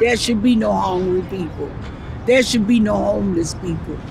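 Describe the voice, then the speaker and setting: A woman speaks at a moderate pace with a medium pitch. There is noticeable background noise and audible echo in the room. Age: 80s+. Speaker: reverend and civil rights activist. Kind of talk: oral history interview.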